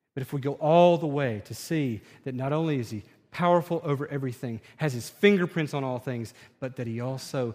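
Using ordinary pitch variation, a man talks at a fairly high pitch. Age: 30s. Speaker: pastor. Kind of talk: sermon.

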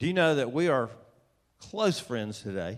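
A man speaks with a Southern US accent. The background is quiet. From US South, Atlanta, Georgia. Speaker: preacher, author. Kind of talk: sermon. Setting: church with audience.

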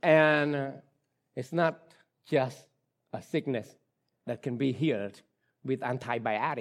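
A man's medium-pitched voice in a Khmer accent, fairly slow, with long, frequent pauses and ordinary pitch variation, on a very clean recording with a silent background. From Cambodia. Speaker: pastor. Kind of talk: sermon. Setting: church. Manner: halting.

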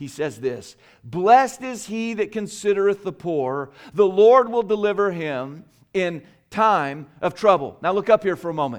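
At a moderate pace over a quiet background, the voice moves with lively intonation and big swings in loudness. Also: man, high pitch for a man. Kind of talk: sermon. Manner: earnest, emphatic, exhorting the congregation with direct appeals; fluent but with frequent repeats and fillers.

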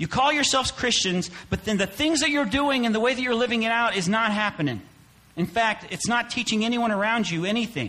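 A high-pitched man with an American accent, raised and projected voice, very even loudness and a fairly quick pace. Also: ordinary pitch variation. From US Midwest (Claycomo, Missouri). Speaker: pastor. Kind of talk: sermon. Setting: church.

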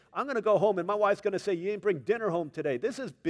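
Lively intonation over plain reading aloud

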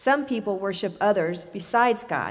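A woman with an unremarkable speaking voice talks at a moderate pace, her pitch varying in an ordinary way. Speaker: scripture reader. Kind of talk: reading aloud. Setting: church.

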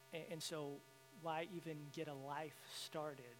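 A man with a Southern US accent, fairly high in pitch, in monotone, flat intonation with audible room echo. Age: 30s. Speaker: guest speaker. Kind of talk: sermon. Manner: halting.

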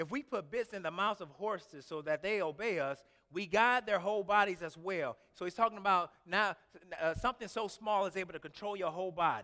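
This man's voice is high-pitched, raised and projected, with a bright, sharp tone that is also warm and animated, ordinary pitch variation, and a fairly quick pace. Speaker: pastor. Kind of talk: sermon. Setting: church. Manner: animated, emphatic preaching cadence with exclamations and repeated words; warm, conversational and informal with the congregation.

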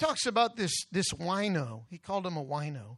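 Spoken at a moderate pace, the voice has an animated tone against a quiet background. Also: man. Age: 60s. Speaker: guest preacher. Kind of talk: sermon. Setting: church.

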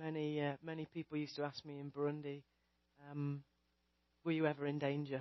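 Long, frequent pauses break up this speech in a British accent. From England. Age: 40s. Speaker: missionary preacher. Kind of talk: sermon.

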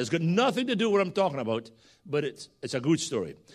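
In a very clean recording with a silent background, a man with a Scottish accent speaks at a high pitch with very wide pitch swings. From Scotland. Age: 60s. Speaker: guest preacher. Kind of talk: sermon. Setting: church.

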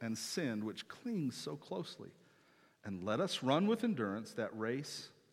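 Throughout, the words come in an unforced reading voice.

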